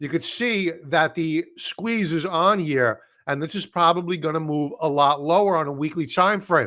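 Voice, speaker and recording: In a very clean recording with a silent background, a man with an American accent speaks at a moderate pace in a high, bright, sharp voice with ordinary pitch variation. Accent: Brooklyn accent, suppressed. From Brooklyn, New York. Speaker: stock trading educator. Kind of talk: live stream chart analysis. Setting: live stream. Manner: casual, conversational.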